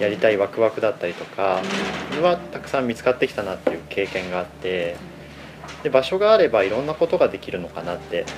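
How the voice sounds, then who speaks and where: A man speaks very fast at a fairly low pitch, with lively intonation and big swings in loudness. Noticeable background noise runs underneath. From Aichi, Japan. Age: 30s. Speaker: cafe owner. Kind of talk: casual interview.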